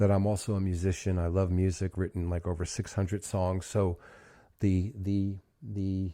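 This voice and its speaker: Speaking at a moderate pace, a man has a fairly low voice with a dark, mellow tone. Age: 60s. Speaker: therapist and speaker. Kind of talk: motivational talk. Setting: video call. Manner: halting.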